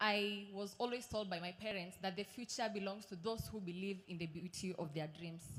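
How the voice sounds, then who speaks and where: A woman speaks at a moderate pace with a medium pitch and ordinary pitch variation, and the room echo is audible. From Kenya, Kuria in Migori County. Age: 20s. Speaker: law graduate. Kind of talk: speech. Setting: stage with audience.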